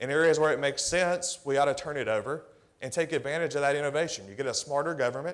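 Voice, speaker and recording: Pitched fairly high, a man talks at a very fast pace in an animated tone. He has a slight Tennessee accent. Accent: subtle Tennessee. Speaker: government technology executive. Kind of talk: conference presentation. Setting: stage with audience. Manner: conversational, animated.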